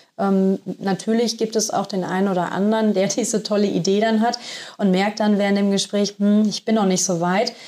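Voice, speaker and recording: A woman speaks in a dark, mellow tone. Her intonation is monotone and flat, with very even loudness. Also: medium pitch for a woman, moderate pace. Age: 30s. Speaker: business development officer. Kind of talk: casual interview.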